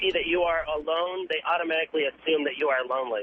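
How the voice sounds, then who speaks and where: A man talks at a very fast pace. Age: 30s. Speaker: caller. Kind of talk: phone-in call. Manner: halting.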